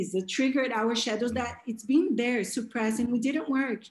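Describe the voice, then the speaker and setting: With a Portuguese accent, a woman speaks at a moderate pace in a high voice with ordinary pitch variation. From Brazil. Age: 30s. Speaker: life coach. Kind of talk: interview.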